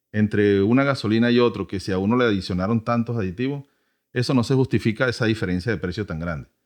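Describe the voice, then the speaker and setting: A man's fairly low-pitched voice, an ordinary speaking voice, with ordinary pitch variation and a fairly quick pace over a quiet background. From Venezuela. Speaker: podcast host, automotive educator. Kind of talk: casual educational chat.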